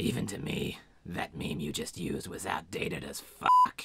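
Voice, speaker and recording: A man speaks at a moderate pace in a put-on character voice, very deep and low, with sound effects playing in the background. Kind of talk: comic abridged parody dub. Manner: sarcastic, goofy, bored.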